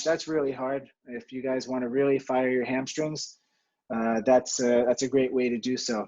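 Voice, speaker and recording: Here a man talks at a moderate pace in a monotone with flat intonation. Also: medium pitch for a man. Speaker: fitness instructor.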